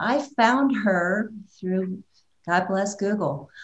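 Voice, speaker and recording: Somewhat breathy speech from a woman, delivered at a fairly slow pace. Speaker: filmmaker and radio host. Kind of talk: casual interview conversation. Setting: online webinar or video call.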